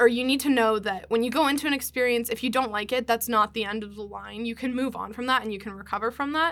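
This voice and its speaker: Bright and sharp in tone, a woman with an American accent and fairly high pitch talks at a fairly quick pace with fairly even intonation in a very clean recording with a silent background. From Pennsylvania, US. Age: 20s. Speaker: podcast guest. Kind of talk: casual chat. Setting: studio. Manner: fast.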